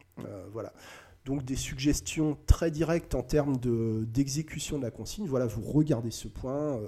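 Somewhat breathy, a man with a medium pitch and a dark, mellow tone talks at a moderate pace with ordinary pitch variation. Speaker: hypnotist. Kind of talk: tutorial; hypnotic induction demo. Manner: halting.

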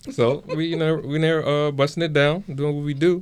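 A man with a fairly high voice talks in front of a quiet background. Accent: American. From Henrico, Virginia. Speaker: restaurant business partner. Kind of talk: casual chat.

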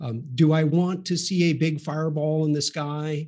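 Against a quiet background, a man with an American accent talks in a monotone, flat intonation at a fairly high pitch. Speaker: space industry analyst. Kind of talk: panel discussion. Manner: hesitant, many fillers.

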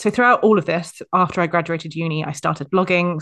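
Against a quiet background, a woman with a normal speaking voice talks at a fairly low pitch with fairly even intonation. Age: 30s. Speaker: content writer. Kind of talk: casual chat.

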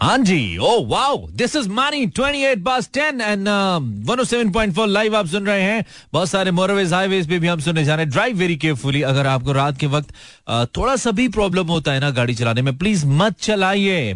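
A man's high voice with very wide pitch swings against a quiet background. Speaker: radio host. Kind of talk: live call-in radio show. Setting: radio studio. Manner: casual, joking.

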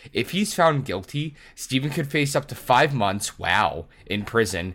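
This is a normal speaking voice with lively intonation. The pace is moderate. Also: man. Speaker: podcast host. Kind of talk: casual chat.

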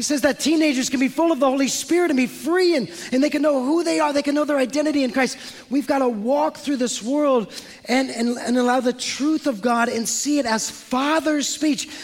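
With an American accent, a man speaks at a fairly quick pace in an extremely high pitch and an animated tone, his loudness very even over noticeable background noise. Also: ordinary pitch variation. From San Francisco, US West Coast. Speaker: pastor. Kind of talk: sermon. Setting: church.

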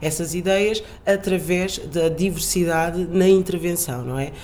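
A woman speaks in a fairly low voice with fairly even intonation. The room echoes audibly, and there is noticeable background noise. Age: 20s. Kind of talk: interview. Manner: hesitant, with fillers.

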